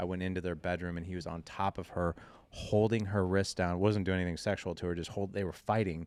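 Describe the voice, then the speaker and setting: A man at a very fast pace, very deep and low in pitch, monotone and flat, on a very clean recording with a silent background. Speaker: fatherhood podcast host and founder. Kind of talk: casual interview, personal storytelling. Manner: casual, conversational.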